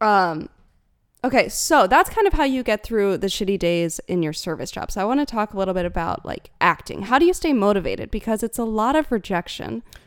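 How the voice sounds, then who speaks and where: Speaking fairly quickly, a woman uses a fairly high pitch with very wide pitch swings. The recording is very clean, with a silent background. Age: 20s. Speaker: YouTuber and podcast co-host. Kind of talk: casual chat.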